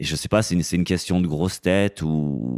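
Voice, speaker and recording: A man's very deep, low voice with a dark, mellow tone and a dry, close sound with no echo. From France, Grenoble. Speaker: personal trainer and gym owner. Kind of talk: casual interview chat.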